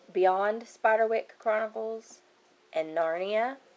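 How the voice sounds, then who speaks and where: A woman with a Kentucky accent speaks at a very slow pace. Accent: Kentucky accent, noticeable. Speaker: book vlogger. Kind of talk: casual chat. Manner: casual, hesitant with many fillers.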